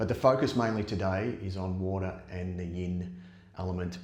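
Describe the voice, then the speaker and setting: With a very deep, low pitch, a man talks at a moderate pace and fairly even intonation amid audible room echo. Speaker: yoga teacher. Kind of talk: guided yoga class. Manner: gets quieter as practice goes on.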